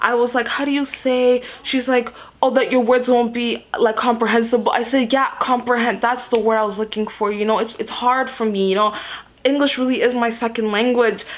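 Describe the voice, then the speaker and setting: Animated, fairly quick speech amid noticeable background noise. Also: woman, high pitch for a woman. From Canada. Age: 20s. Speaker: beauty content creator. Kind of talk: storytime vlog.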